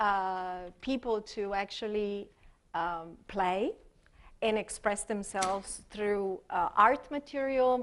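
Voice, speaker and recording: A woman's fairly high voice with an Italian accent at a very slow pace, over a quiet background. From Italy. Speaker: expressive arts therapist. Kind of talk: workshop presentation. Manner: halting, many fillers.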